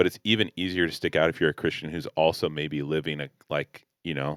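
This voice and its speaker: A man with a very deep, low pitch speaks at a fairly quick pace with fairly even intonation. The sound is dry and close with no echo, on a very clean recording with a silent background. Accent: General American. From Los Angeles. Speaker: pastor and podcast co-host. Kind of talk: casual chat.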